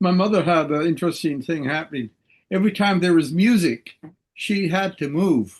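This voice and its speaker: With ordinary pitch variation, a man speaks in a high register. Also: moderate pace. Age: 80s+. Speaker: participant in online group discussion. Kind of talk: casual chat.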